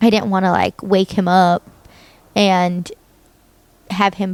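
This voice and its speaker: The speaker has an American accent and talks at a fairly slow pace. The tone is animated. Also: woman, dry, close sound with no echo. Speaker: podcaster. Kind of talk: casual chat.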